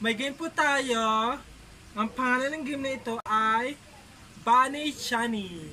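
With light background noise behind her, a woman speaks at a very slow pace in a high pitch with ordinary variation. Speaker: vlogger host. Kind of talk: casual vlog chat, game hosting. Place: home room. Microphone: camera far.

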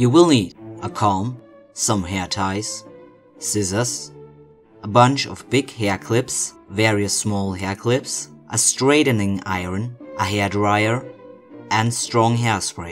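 A man at a very slow pace with a non-native accent, fairly low-pitched and playful in tone, with ordinary pitch variation, long, frequent pauses and music in the background. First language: not English. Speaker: cosplayer. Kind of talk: tutorial narration. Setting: home recording, poor equipment. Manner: playful, joking.

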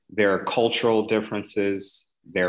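At a fairly slow pace, an unremarkable speaking voice comes through on a very clean recording with a silent background. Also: man. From Philadelphia, US. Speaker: urologic oncologist. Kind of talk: educational interview.

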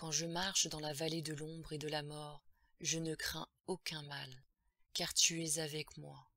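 In a put-on character voice, a woman speaks at a fairly slow pace with a low pitch, a bright, sharp tone and little pitch movement.

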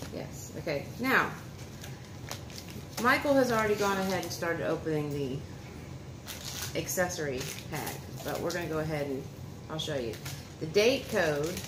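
Noticeable background noise behind a woman speaking at a moderate pace. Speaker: vlogger. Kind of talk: casual vlog chat. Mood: relaxed, a bit apologetic. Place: home room. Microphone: phone near.

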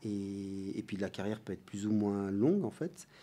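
Speaking at a fairly slow pace, a man has a fairly low pitch. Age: 40s. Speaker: mountain sports athlete and brand ambassador. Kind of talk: interview.

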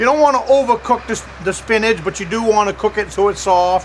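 The speech moves at a moderate pace with ordinary pitch variation. Light background noise is present. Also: man. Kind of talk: casual vlog chat. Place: forest.

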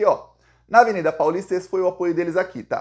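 A man's high voice at a fairly quick pace over a quiet background. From Brazil. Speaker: political commentator. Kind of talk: political news commentary monologue. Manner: animated; casual, conversational. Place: home room. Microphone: phone near.

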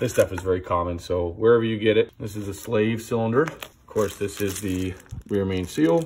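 Over light background noise, a man with an ordinary speaking voice talks at a moderate pace, his pitch fairly low and his intonation fairly even. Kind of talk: tutorial. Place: garage. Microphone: phone near.

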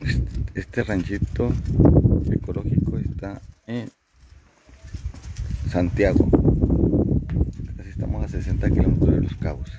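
A man speaks at a fairly slow pace in a low, dark, mellow voice with a slightly husky edge. His pitch varies in an ordinary way, and he leaves long, frequent pauses.

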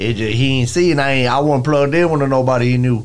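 The speaker is a man talking at a fairly quick pace. His pitch shows ordinary variation.

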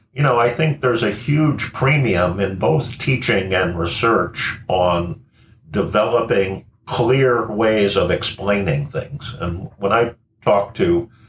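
A man talks at a very slow pace with a fairly low pitch. Light background noise and audible room echo fill the recording. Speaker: engineering professor. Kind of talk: interview answer. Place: home room.

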